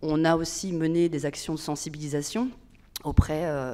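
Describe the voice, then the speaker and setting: A woman's dark, mellow tone on a very clean recording with a silent background. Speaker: public agency manager. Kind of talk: conference talk. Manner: fast; hesitant.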